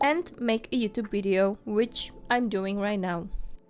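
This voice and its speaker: A woman with a non-native accent at a fairly slow pace, on a very clean recording with a silent background. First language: not English. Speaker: art vlogger and small shop owner. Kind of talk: casual vlog voiceover. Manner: warm, friendly.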